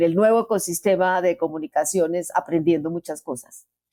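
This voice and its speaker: At a moderate pace, a woman speaks in a dark, mellow tone with a fairly low pitch, the sound dry and close with no echo. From Colombia. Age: 70s. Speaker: veteran journalist and podcast co-host. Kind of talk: casual chat.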